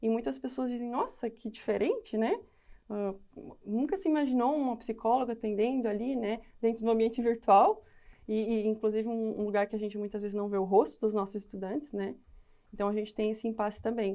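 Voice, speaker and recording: A woman's fairly high voice with a dark, mellow tone, ordinary pitch variation and a fairly quick pace. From southern Brazil, Rio Grande do Sul (Lajeado). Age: 20s. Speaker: educational psychologist. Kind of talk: podcast interview.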